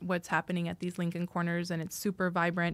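A woman with a fairly low voice is captured in a very clean recording with a silent background. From US, rural Idaho. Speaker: diplomat. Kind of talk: interview.

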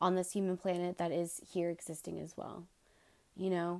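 Here a woman speaks at medium pitch and a moderate pace. Her intonation is monotone and flat. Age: 20s. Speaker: podcast host. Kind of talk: casual solo monologue. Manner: frequent filler words and hesitations.

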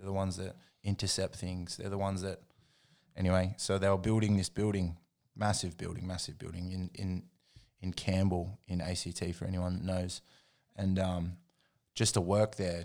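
A man speaks at a moderate pace in a very deep, low voice with flat, monotone intonation, on a very clean recording with a silent background. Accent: Australian. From Australia, Jindabyne and Canberra. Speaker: hip hop producer. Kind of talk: casual chat.

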